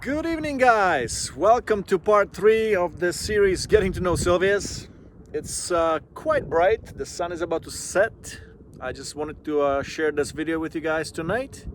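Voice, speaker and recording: A man with a non-native accent and a high pitch, lively intonation at a moderate pace, amid noticeable background noise. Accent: foreign accent, still present. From immigrant to Canada at age twelve, non-English-speaking country. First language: not English. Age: 40s. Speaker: vlogger. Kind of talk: casual vlog monologue. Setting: outdoors by a lake. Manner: relaxed, with frequent fillers.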